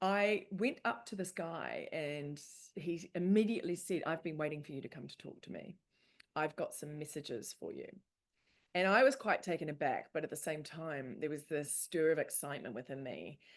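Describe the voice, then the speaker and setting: Over a quiet background, a woman speaks at a moderate pace with a fairly low pitch. Her intonation is lively, in a normal speaking voice. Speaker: spiritual speaker and author. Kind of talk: presentation. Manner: casual, filler-heavy.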